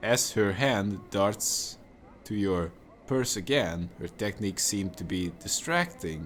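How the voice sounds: Reading done in a natural voice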